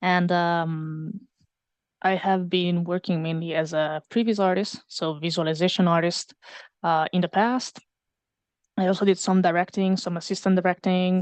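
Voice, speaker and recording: In an Italian accent, a woman speaks at a fairly slow pace with fairly even intonation. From Italy. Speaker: previs artist and animation teaching assistant. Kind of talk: casual interview on livestream.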